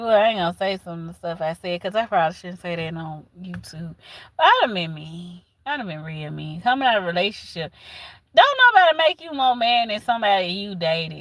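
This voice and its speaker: A woman's medium-pitched voice with a Southern US accent, lively intonation and a fairly quick pace. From US South. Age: 40s. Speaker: livestreamer. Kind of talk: casual chat. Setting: livestream.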